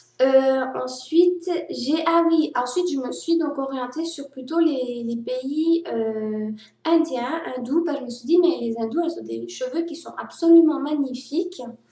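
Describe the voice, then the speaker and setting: Set in audible room echo, a woman talks at a fairly slow pace in a high voice, her loudness swinging widely. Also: ordinary pitch variation. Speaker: vlogger. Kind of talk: personal vlog monologue.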